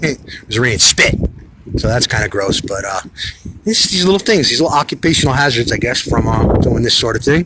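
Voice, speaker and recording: Speaking at a fairly quick pace and medium pitch, a man makes very wide pitch swings over noticeable background noise. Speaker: political livestream host. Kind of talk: live stream chat reading comments. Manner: fast; animated.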